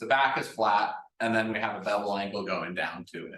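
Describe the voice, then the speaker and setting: A man talks at a moderate pace, and audible room echo follows his words. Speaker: woodworking presenter. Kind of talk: presentation.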